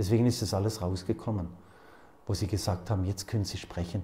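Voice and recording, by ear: A man speaks fast in a fairly low voice, with a dark, mellow tone and fairly even intonation.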